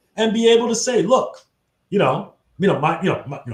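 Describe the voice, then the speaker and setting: Lively intonation from a man. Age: 60s. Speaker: tech nonprofit executive director. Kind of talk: interview. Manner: halting, many fillers.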